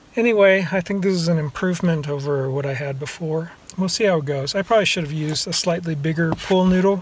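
At a fairly quick pace, a man speaks with a high pitch in a dry sound with no echo. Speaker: travel vlogger. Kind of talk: casual vlog chat. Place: car. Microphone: phone near.

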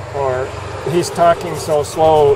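A man with a fairly high voice is heard against noticeable background noise. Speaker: vlogger. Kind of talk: casual talk to camera. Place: street. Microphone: earbuds.

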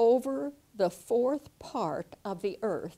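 A woman's voice with vocal fry, at a very slow pace. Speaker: Bible teacher. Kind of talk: Bible teaching lesson. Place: studio. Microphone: lapel.

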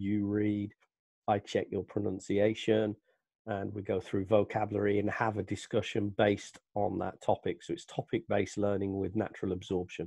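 Against a quiet background, a man with an English Midlands accent speaks in a fairly low, flat monotone, the sound dry with no echo. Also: moderate pace. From England, Northampton (East Midlands). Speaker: English teacher. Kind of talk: self-introduction to camera. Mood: friendly, relaxed. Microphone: headset.

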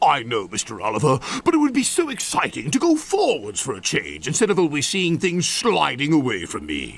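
A man in a put-on character voice talks at a moderate pace with few pauses, his fairly high pitch swinging very widely, with vocal fry and a slightly husky edge.

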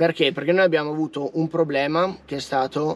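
A man speaks at a moderate pace with fairly even intonation, the sound dry and free of echo. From Trentino, northern Italy. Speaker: van life vlogger. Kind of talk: casual vlog monologue. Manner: informal, chatty. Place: car.

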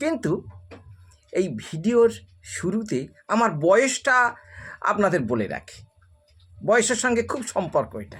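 Over music in the background, a man talks in a high voice with lively intonation. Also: big swings in loudness. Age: 60s. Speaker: storyteller video creator. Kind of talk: storytelling monologue.

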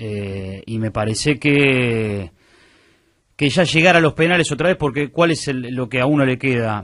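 With a Rioplatense accent, a man speaks at a medium pitch and a moderate pace with lively intonation against a quiet background. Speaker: sports radio panelist. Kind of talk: sports talk radio.

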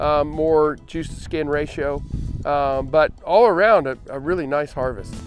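Faint music plays in the background as a man talks with ordinary pitch variation in a dry sound with no echo. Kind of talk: interview answer. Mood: relaxed, pleased. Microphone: lapel.

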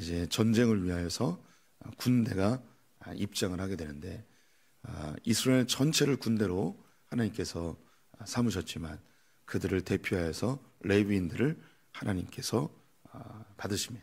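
A man with a fairly low pitch and ordinary pitch variation talks at a moderate pace, leaving long, frequent pauses. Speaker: pastor. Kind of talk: sermon. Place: church. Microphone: podium.

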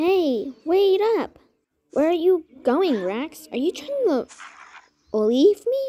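A female-sounding voice in a put-on character voice climbs to an extremely high pitch with very wide swings, moving at a very slow pace with long, frequent pauses. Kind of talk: audio drama dialogue.

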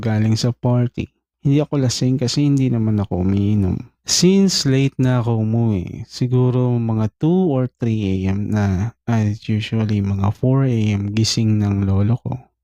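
A man's dark, mellow voice at a fairly slow pace, hardly any pauses, very even loudness and ordinary pitch variation, in a dry, close sound with no echo. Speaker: horror story channel host. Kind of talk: reading a listener's story aloud.

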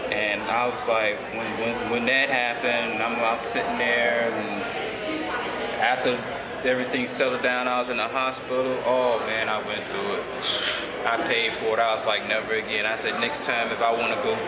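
Music plays in the background as the speaker talks at a moderate pace. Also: man. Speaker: interviewee. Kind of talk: interview answer. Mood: somber, reflective, sometimes wry. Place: hall.

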